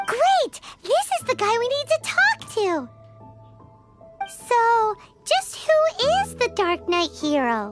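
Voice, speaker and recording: A squeaky, put-on character voice at an extremely high pitch, very slow and full of long, frequent pauses, with faint music in the background. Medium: video game. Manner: excitable, blunt.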